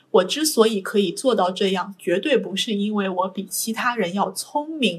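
Somewhat breathy, a woman talks at medium pitch and a moderate pace. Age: 20s. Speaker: PhD student. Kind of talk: interview.

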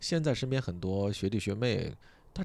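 A man speaks with lively intonation. The recording is very clean, and the background is silent. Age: 30s. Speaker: podcast host and comedian. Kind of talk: sleep-aid casual chat.

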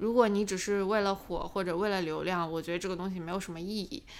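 Here is a woman with a normal speaking voice at a medium pitch. She talks at a fairly quick pace with fairly even intonation. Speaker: finance YouTuber. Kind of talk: casual interview chat.

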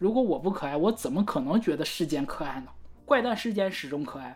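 A woman's voice, fairly low in pitch, with very wide pitch swings and a very fast pace. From Northeast China. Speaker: podcast co-host. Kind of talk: casual chat about song lyrics.

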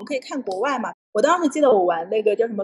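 A woman speaks at a high pitch. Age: 30s. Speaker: entrepreneur, founder of a senior fashion group. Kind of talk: livestream talk sharing business experience. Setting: livestream.

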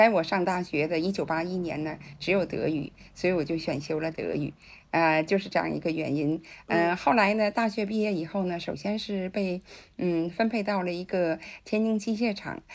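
This woman has an ordinary speaking voice with a fairly low pitch. She talks at a moderate pace against a quiet background. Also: ordinary pitch variation. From China, Tianjin. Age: 60s. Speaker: interpreter. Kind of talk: interview.

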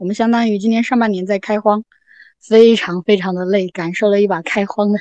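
A woman's fairly high-pitched, plain, everyday voice at a fairly quick pace, fairly even in intonation, with a dry, close sound and no echo. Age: young. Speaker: small farmer living alone in a village. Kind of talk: casual podcast conversation.

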